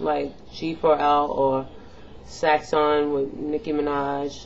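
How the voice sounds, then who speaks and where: A woman's very deep, low voice over light background noise. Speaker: beauty and pop culture vlogger; vlogger. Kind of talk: casual vlog commentary. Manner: rambling, animated. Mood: opinionated, annoyed. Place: home room. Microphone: webcam.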